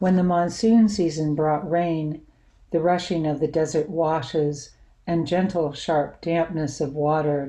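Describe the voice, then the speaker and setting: A woman with a very deep, low pitch and a dark, mellow tone speaks at a fairly slow pace. Her intonation is fairly even, and the background is quiet. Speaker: poet. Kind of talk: poetry reading, spoken word; poetry reading. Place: home room. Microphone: webcam.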